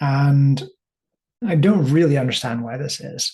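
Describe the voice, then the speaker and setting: The pace is fairly slow. A man speaks in a somewhat breathy voice. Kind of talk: casual talk to camera. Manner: rambling, hesitant.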